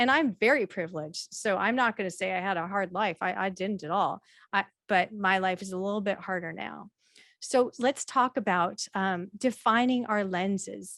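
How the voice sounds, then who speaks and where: Very clean recording, silent background, and a dry, close sound with no echo, carrying a woman's medium-pitched voice in an American accent at a moderate pace with ordinary pitch variation. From US Pacific Northwest, Bothell. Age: 40s. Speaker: diversity consultant. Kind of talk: presentation.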